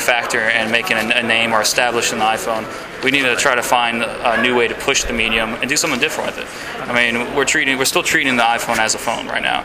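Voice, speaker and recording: Very fast, monotone, flat speech from a man at medium pitch, with noticeable background noise and audible room echo. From Louisiana (Baton Rouge). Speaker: indie game developer. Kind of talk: interview. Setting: game developers conference. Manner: hesitant, many fillers.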